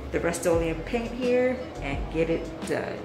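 Clear music plays in the background. Over it, a woman speaks at a fairly slow pace. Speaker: DIY home vlogger. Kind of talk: tutorial. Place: bathroom. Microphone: phone near.

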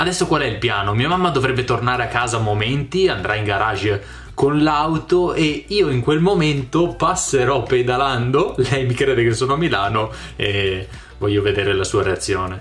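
Against light background noise, a man speaks with lively intonation. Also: moderate pace. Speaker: vlogger. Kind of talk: casual vlog chat. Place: home room. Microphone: phone near.

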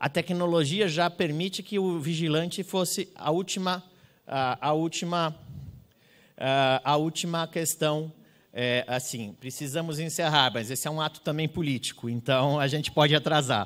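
This is an unremarkable speaking voice at a fairly slow pace. Its pitch shows ordinary variation. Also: man, fairly high pitch for a man. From Brazil. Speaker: public security researcher; speaker. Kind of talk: conference talk. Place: hall. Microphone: handheld.

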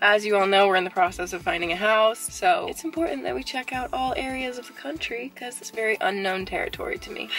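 Over faint background music, a woman speaks at a very fast pace with hardly any pauses, her loudness swinging widely in a dry recording with no echo. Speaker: vlogger. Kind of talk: casual vlog chat. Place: car. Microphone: phone near.

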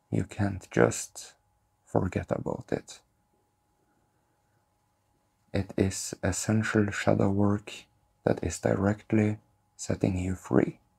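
This man talks at a very slow pace with long, frequent pauses, his pitch fairly low and his voice somewhat breathy. His tone is dark and mellow. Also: ordinary pitch variation, quiet background. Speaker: spiritual content creator. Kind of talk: calm spiritual talk to camera. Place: home room.

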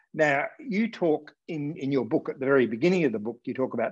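This man has an Australian accent and a fairly high pitch for a man. He talks at a fairly quick pace with lively intonation over a quiet background. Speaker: political journalist, interviewer. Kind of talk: interview conversation. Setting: video call. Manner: halting, many fillers. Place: home room. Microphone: earbuds.

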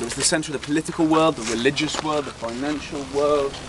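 Noticeable background noise accompanies a man with a British accent. He speaks at a fairly quick pace in a fairly high pitch, and the sound is dry with no echo. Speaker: tour guide. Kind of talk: guided tour talk to a group. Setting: outdoors. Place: open country. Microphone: camera far.

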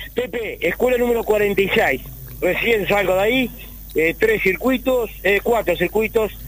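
Amid noticeable background noise, a high-pitched man talks at a fairly slow pace with very even loudness. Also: ordinary pitch variation. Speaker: field reporter. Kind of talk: live field report.

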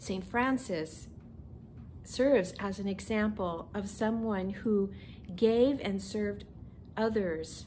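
A woman's dark, mellow, somewhat breathy voice, very slow with long, frequent pauses and ordinary pitch variation, over light background noise. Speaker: minister. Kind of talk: children's message. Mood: gentle and warm. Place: home room.

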